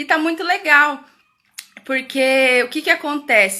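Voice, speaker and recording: Raising and projecting her voice, a woman speaks at a fairly slow pace in a bright, sharp tone with lively intonation. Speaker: educator hosting a parenting live stream. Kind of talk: live stream talk. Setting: live video stream from home. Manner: loud.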